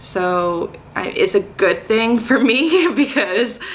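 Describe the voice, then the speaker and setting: Her accent is American as the woman talks. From North Carolina, US South. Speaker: teacher. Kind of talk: casual vlog talk to camera. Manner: hesitant, many filler words.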